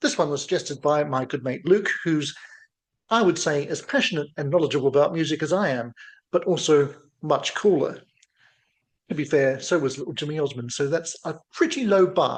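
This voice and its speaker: Fairly quick delivery from a man, his pitch fairly high, with ordinary variation in it. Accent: slight New Zealand. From New Zealand. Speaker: music reaction youtuber. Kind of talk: casual reaction video commentary. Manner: playful, jokey.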